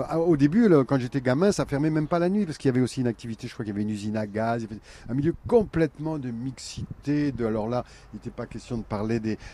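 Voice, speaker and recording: Talking at a very fast pace, a man uses lively intonation and a dark, mellow tone. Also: medium pitch for a man. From Picardy, France (Vimeu, Friville-Escarbotin). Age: 70s. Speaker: clown and theatre artist. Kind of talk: radio interview. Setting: outdoors, live outside a hall.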